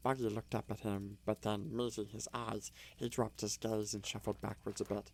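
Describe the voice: Fairly even intonation in a plain reading aloud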